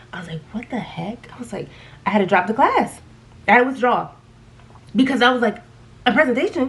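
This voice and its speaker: Over noticeable background noise, a woman with a high, animated voice and lively intonation talks at a fairly quick pace, with big swings in loudness and long, frequent pauses. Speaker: beauty vlogger. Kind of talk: casual chat. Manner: stuttering.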